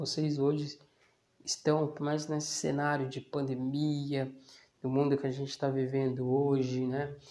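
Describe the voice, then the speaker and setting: A man's dark, mellow tone, fairly high in pitch with ordinary variation, at a very slow pace. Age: 20s. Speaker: podcast host and small business owner. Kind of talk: casual solo monologue. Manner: hesitant, many fillers.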